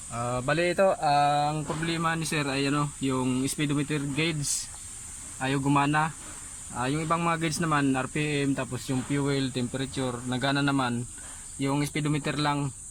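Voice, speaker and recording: The man talks at a fairly slow pace. His pitch is fairly high and his intonation fairly even. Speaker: auto mechanic vlogger. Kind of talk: DIY repair tutorial. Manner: halting, many fillers.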